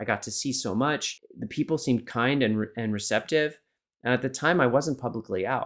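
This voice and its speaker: Speaking at a fairly quick pace, a man has a normal speaking voice at medium pitch with ordinary pitch variation, on a very clean recording with a silent background. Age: 40s. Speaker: photographer and confidence coach. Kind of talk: casual chat.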